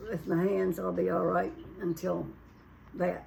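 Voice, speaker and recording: Noticeable background noise sits behind this woman. She talks at a moderate pace. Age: 80s+. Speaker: retired mother, home cook. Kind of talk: casual interview.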